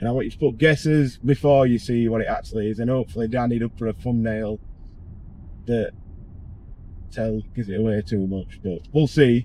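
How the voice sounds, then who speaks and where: This man speaks with a Yorkshire accent at medium pitch, with ordinary pitch variation and a fairly quick pace broken by long, frequent pauses. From northern England, Barnsley, South Yorkshire. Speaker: car tuning workshop owner and vlogger. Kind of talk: casual vlog. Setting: in a car. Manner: casual, rambling.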